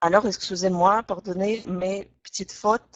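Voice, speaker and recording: A woman with a Russian accent, monotone and flat, at a very slow pace. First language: Russian (speaking French). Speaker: language teacher. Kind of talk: online webinar lesson. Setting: online webinar. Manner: hesitant, frequent filler 'euh'.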